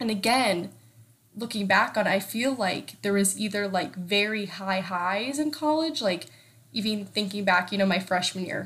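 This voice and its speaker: A woman's unremarkable speaking voice at medium pitch and a moderate pace. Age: 20s. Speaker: solo podcast host. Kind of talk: casual solo chat. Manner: conversational with filler words.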